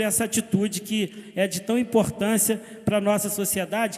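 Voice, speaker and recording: A man with a high pitch holds a fairly even intonation as noticeable background noise plays around him. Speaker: city councillor. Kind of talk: council session speech. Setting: municipal council chamber. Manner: hesitant fillers.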